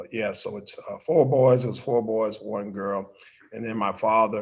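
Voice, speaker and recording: A man with an American accent at medium pitch, ordinary pitch variation, vocal fry, big swings in loudness and a moderate pace. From Florida, US South (St. Petersburg). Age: 50s. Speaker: pastor. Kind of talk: interview. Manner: halting, many fillers.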